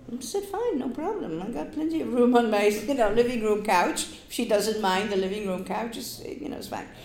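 Over noticeable background noise, a woman with a fairly high pitch talks at a fairly quick pace with hardly any pauses. Her intonation is lively and her loudness swings a lot. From Poland, Gdynia on the Baltic coast. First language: Polish. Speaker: oral history interviewee. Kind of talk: oral history interview. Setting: public library.

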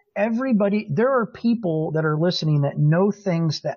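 High-pitched for a man, this voice belongs to a male speaker. His intonation is lively. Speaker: social media marketing director and industry speaker. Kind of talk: casual interview chat. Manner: rambling, talkative.

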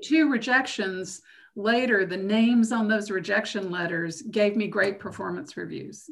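Using a plain, everyday voice, a woman with an American accent talks at a moderate pace, medium in pitch with ordinary variation. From US South, Macon, Georgia. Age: 60s. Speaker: geologist. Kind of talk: interview.

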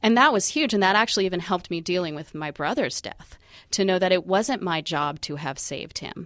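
A woman speaks in a normal speaking voice at medium pitch, with lively intonation and a fairly quick pace. The recording is very clean and the background silent. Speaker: suicide prevention walk organizer. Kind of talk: radio interview. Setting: studio.

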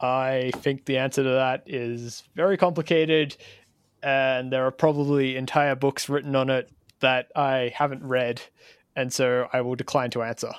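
A man with an Australian accent speaks at a moderate pace and medium pitch in a monotone, flat way. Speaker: podcast host. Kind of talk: interview.

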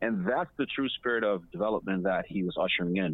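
At a fairly quick pace, a man with an unremarkable speaking voice talks with lively intonation. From Ghana, raised in Botswana and the US. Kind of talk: casual interview. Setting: remote call.

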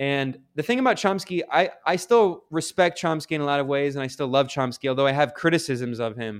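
A man's normal speaking voice, fairly high-pitched, with ordinary pitch variation, an American accent and hardly any pauses. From US Midwest and South (Ohio, Kentucky, Maryland). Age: 30s. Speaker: journalist. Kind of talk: interview. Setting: video call. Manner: casual, many fillers.

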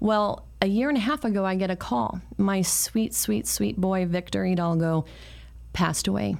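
A woman with a General American accent speaks at a moderate pace in a fairly low pitch, an unremarkable speaking voice. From San Francisco, US. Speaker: talk show host and real estate agent. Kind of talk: interview. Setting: live video stream.

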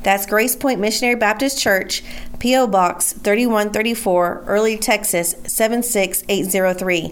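A woman's fairly high pitch, very even loudness and fairly even intonation at a very slow pace, over noticeable background noise. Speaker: radio announcer. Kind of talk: scripted announcement. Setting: radio broadcast.

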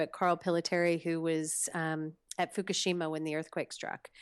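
A woman with an American accent has an unremarkable speaking voice at a fairly low pitch. She talks at a fairly quick pace. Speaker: storytelling show producer. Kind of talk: interview. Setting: remote call.

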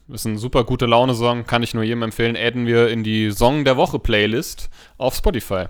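This is an ordinary speaking voice from a man at medium pitch. His intonation stays fairly even. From Hesse, Hanau. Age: 30s. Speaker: podcast co-host, nursery teacher. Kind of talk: casual chat. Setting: home recording room.

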